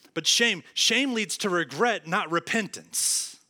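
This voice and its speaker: A man with an American accent speaks in a bright, sharp tone with lively intonation. The recording is very clean, with a silent background. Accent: rural Southern US (redneck). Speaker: pastor. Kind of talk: sermon. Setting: church.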